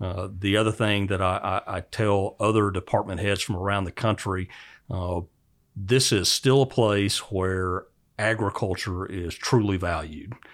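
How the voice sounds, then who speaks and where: A normal speaking voice with an American accent, fairly even intonation and a fairly slow pace, in a very clean recording with a silent background. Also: man, fairly low pitch for a man. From Oklahoma, US. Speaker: university department head in animal science. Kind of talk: interview. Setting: office.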